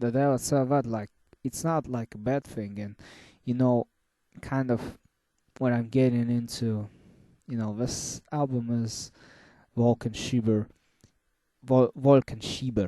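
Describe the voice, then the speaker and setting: Speaking with a non-native accent, a man has a dark, mellow tone at medium pitch and fairly even intonation. His pace is fairly slow with long, frequent pauses, over a quiet background. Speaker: music reviewer. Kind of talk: casual monologue review. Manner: halting.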